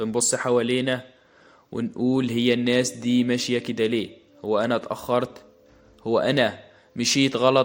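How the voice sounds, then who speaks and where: Here a man speaks in an Egyptian accent at a fairly slow pace and medium pitch. His intonation is monotone and flat. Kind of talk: motivational podcast talk. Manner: warm, encouraging.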